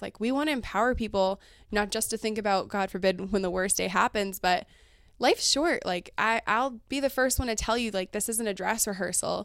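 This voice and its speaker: A woman's fairly high voice at a fairly quick pace, with ordinary pitch variation, on a very clean recording with a silent background. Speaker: financial advisor. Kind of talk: casual interview chat. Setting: office. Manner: fast talker.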